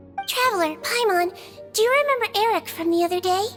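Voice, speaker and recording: Put on as a squeaky character voice, a woman speaks very fast at an extremely high pitch, with ordinary pitch variation and very even loudness, over clear music in the background. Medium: video game. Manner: calm, methodical.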